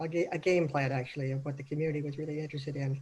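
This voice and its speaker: A woman speaks with an American accent. Her voice is very deep, low-pitched and somewhat breathy. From Arizona. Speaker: city manager. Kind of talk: panel discussion. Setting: video call. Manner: soft-spoken.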